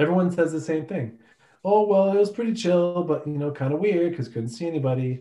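A man with a high voice speaks in a dark, mellow tone. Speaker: podcast co-host. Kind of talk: casual chat. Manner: monotone.

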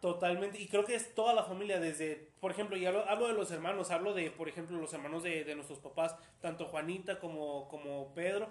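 A high-pitched man speaks at a fairly quick pace with hardly any pauses and ordinary pitch variation. Noticeable background noise is present. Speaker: podcast host. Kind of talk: casual interview.

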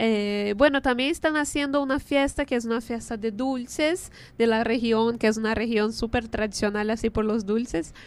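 Someone with a Portuguese accent speaks at a moderate pace with ordinary pitch variation. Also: woman. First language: Portuguese (speaking Spanish). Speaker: radio host. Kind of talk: radio show, casual chat.

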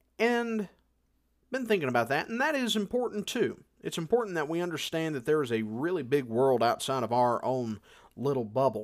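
With an American accent and lively intonation, a man talks at a moderate pace in a very clean recording with a silent background. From United States. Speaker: podcast host. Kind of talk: casual monologue and interview. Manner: hesitant, many fillers.

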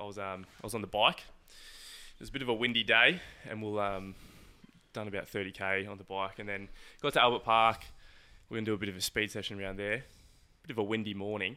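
A man with an Australian accent speaks at a very fast pace with a fairly low pitch and fairly even intonation, taking long, frequent pauses amid big swings in loudness. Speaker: podcast co-host. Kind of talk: casual chat.

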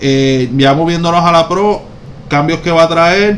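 A man talks with ordinary pitch variation amid audible room echo and noticeable background noise. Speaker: car podcast co-host. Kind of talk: casual chat.

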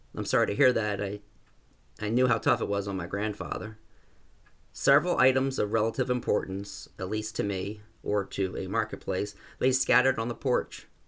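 At a moderate pace, a man talks in an ordinary speaking voice, fairly low in pitch with ordinary variation, on a very clean recording with a silent background. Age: 50s. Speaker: short story author. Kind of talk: reading aloud own story.

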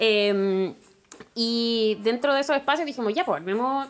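A fairly high-pitched woman's voice in a Chilean accent. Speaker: activist. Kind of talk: casual chat.

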